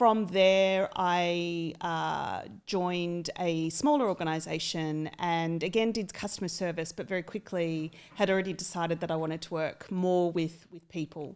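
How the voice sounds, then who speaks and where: A woman with an Australian accent and a fairly low voice speaks at a moderate pace with fairly even intonation and hardly any pauses. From Australia, country town. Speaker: HR executive. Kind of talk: podcast interview. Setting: studio.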